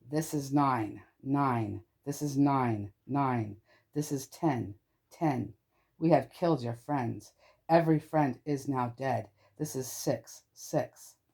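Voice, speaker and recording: Putting on a raspy, robotic character voice at a medium pitch, a man speaks at a very slow pace on a very clean recording with a silent background. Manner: empty, mechanical.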